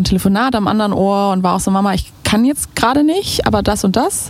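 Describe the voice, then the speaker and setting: A woman with an unremarkable speaking voice talks at a moderate pace with a medium pitch. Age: 30s. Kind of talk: casual interview chat.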